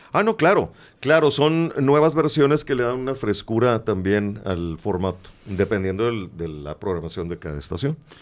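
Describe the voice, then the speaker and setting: A man with a fairly low pitch speaks at a moderate pace with very wide pitch swings. The recording is very clean with a silent background. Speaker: radio announcer. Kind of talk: interview answer.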